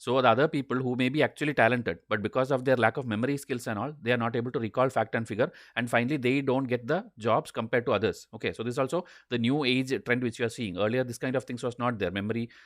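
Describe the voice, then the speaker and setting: Over a quiet background, a man talks at a very fast pace and medium pitch. His intonation is fairly even, the sound dry and close with no echo. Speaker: online exam coach. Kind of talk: lecture.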